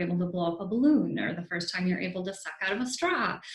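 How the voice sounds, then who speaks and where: A woman's fairly low voice with a bright, sharp tone. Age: adult. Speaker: advisory council member born with cleft. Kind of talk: panel discussion. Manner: hesitant with fillers.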